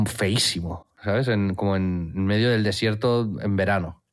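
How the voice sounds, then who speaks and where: This man has a normal speaking voice, pitched fairly low, with fairly even intonation and very even loudness at a fairly slow pace. The recording is very clean, with a silent background. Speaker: podcast co-host. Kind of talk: casual chat.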